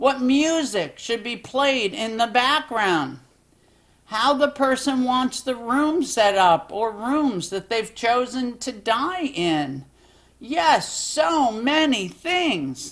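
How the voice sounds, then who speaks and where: A female-sounding cartoonish character voice speaks at a high pitch and a very slow pace. The tone is calm. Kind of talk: educational explainer, one side of a phone call. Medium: puppet. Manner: calm, patient.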